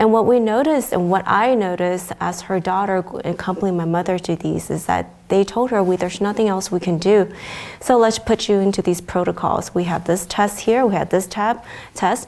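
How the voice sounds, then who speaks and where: Using an ordinary speaking voice, a woman with an American accent talks at a fairly quick pace, with a medium pitch and ordinary pitch variation. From China until age 8, then US. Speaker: pediatrician. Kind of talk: interview. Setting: venue interview.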